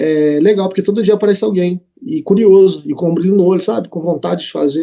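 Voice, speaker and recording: The voice has a dark, mellow tone and ordinary pitch variation, moving at a fairly quick pace. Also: man. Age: 20s. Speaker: bartender. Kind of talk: casual chat.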